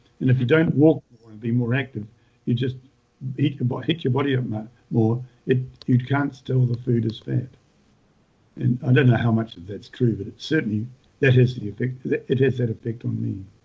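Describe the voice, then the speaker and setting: A somewhat breathy voice in a New Zealand accent, fairly quick with long, frequent pauses, fairly even intonation and big swings in loudness. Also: man, medium pitch for a man. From New Zealand, North Island. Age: 70s. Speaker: retired farmer and author. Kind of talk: podcast interview. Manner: halting, many repetitions.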